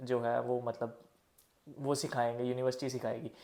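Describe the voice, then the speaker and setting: A man's dark, mellow voice of medium pitch moves at a moderate pace. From India. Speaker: vlogger advising international students. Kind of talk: casual vlog advice. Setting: at home early morning, others sleeping.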